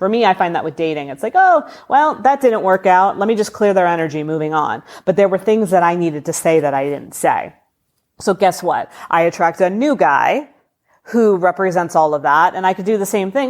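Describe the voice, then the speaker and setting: A woman's medium-pitched, animated voice at a fairly quick pace, with lively intonation, on a very clean recording against a silent background. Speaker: spiritual podcast host. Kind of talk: casual solo podcast talk. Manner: fast.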